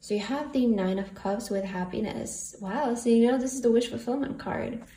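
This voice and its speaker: Heard with noticeable background noise and audible room echo, a woman speaks at a moderate pace and fairly high pitch with ordinary pitch variation. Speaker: tarot reader. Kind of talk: tarot reading. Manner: casual, filler-heavy; stuttering at times.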